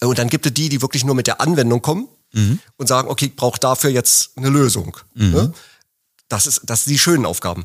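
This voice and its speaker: With a slight Berlin accent, a man talks at a fairly quick pace with lively intonation, his voice dry and close with no echo on a very clean recording over a silent background. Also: medium pitch for a man. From Berlin, Germany. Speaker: office manager at a pump manufacturer. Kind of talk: interview. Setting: studio, sitting across from host.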